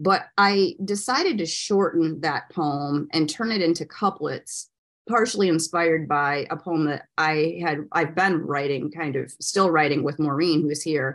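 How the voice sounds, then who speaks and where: A woman with an American accent speaks at a fairly slow pace with hardly any pauses, in a very deep, low pitch with ordinary pitch variation. The background is quiet. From US Midwest, Michigan. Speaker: poet. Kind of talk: poetry reading.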